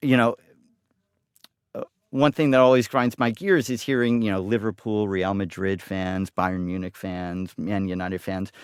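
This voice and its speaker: This very clean recording has a silent background and a dry, close sound with no echo. A man with an American accent talks at a moderate pace in a plain, everyday voice, his pitch varying in an ordinary way. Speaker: football supporters club organizer. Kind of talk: casual chat. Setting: studio.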